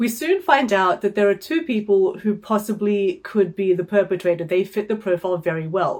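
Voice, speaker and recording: Against noticeable background noise, a woman speaks at a moderate pace with a fairly high pitch and lively intonation. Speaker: book reviewer. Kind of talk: book review monologue. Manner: hesitant with fillers.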